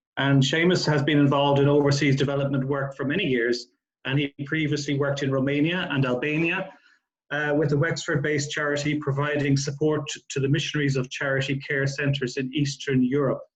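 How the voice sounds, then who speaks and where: A man with a fairly high pitch and an Irish accent talks at a fairly quick pace in a monotone, flat way, sounding somewhat breathy. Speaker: charity CEO chairing a panel. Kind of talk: panel moderation. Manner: halting, many fillers.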